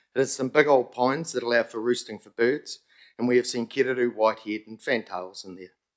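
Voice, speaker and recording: Recorded very cleanly against a silent background, a man with a New Zealand accent speaks at a medium pitch. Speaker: community group convener presenting to council. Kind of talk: public submission to council committee. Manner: fast.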